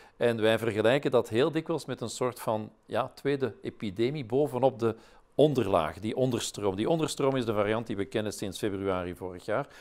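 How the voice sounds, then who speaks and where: With ordinary pitch variation and a moderate pace, a man talks over a quiet background. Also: medium pitch for a man. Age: 60s. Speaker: professor, vaccine expert; professor. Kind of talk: interview. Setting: webinar. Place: studio. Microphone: lapel.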